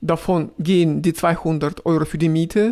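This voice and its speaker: A man's high-pitched voice in a strong Russian accent, fairly slow in pace, with fairly even intonation. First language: Russian (speaking German). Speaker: video blogger. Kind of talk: casual vlog, answering viewer questions. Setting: riding a tram. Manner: halting, with fillers.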